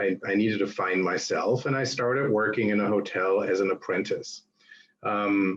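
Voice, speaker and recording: A man with a German accent and fairly even intonation. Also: fairly low pitch for a man, moderate pace. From Germany (Berlin). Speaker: hotelier. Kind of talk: guest lecture.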